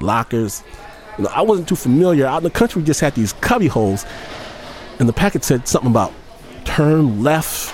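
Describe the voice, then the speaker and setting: Amid noticeable background noise, a man talks fairly quickly in a fairly high pitch, with very wide pitch swings, very even loudness and long, frequent pauses. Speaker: radio show host. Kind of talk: storytelling radio hosting. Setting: studio. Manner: animated.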